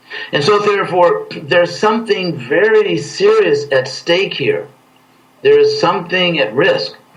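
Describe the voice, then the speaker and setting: There is noticeable background noise behind a man speaking at a fairly slow pace. His loudness stays very even. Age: 60s. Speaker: spiritual leader. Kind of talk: interview.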